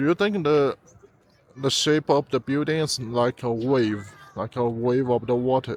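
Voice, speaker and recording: Speaking at a fairly slow pace, a man with a Chinese accent uses a medium pitch. His pitch varies normally, and the sound is dry and close with no echo. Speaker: travel vlogger. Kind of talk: walking tour vlog. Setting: outdoors. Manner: halting, many fillers and repeats.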